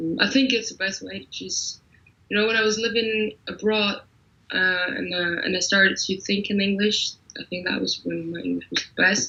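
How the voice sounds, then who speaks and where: A woman at a moderate pace, with big swings in loudness and noticeable background noise. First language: German. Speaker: singer-songwriter. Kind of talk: interview. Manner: mumbling; halting.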